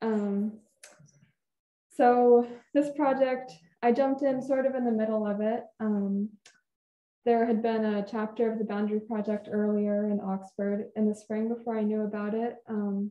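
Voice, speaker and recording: Speaking in an American accent, a woman uses a fairly high pitch and monotone, flat intonation, leaving long, frequent pauses. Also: moderate pace. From Lopez Island, Washington, US Pacific Northwest. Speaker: storyteller and artist. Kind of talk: storytelling talk to audience. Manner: soft-spoken.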